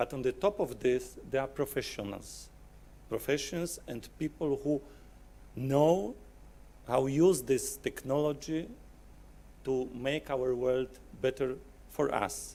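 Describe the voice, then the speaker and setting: Long, frequent pauses break up a man's very slow delivery. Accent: Polish. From Poland. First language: Polish. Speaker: software company client service manager. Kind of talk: conference presentation. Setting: conference hall with audience.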